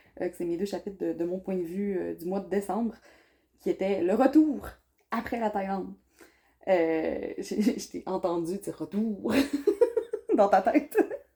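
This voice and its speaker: A woman's medium-pitched, dark, mellow voice with a Saguenay accent and ordinary pitch variation. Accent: Saguenay Quebec French. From Quebec, Saguenay. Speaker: vlogger. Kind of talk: casual chat.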